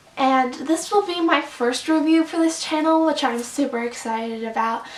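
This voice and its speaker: A woman talks at a high pitch with ordinary pitch variation over noticeable background noise. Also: moderate pace. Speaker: book reviewer. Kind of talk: casual vlog review. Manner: animated.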